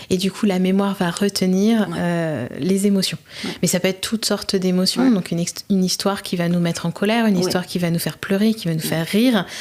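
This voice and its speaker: A woman talks at a very fast pace with hardly any pauses. Her intonation stays fairly even. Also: medium pitch for a woman. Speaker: podcast host / interviewer. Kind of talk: interview question.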